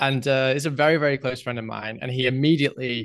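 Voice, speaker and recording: At a moderate pace and medium pitch, a man speaks with fairly even intonation. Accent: English. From England. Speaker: podcaster. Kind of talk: casual chat. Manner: halting, many fillers and repeats.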